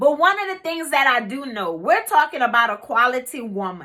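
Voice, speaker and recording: A woman speaks at a moderate pace in a high, raised and projected voice. Her tone is bright and sharp, and her pitch swings very widely. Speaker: life coach. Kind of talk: motivational talk. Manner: loud; casual.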